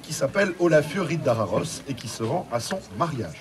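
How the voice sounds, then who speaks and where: A man is talking. Crowd noise fills the background. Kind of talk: stage banter to audience. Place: street. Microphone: camera far.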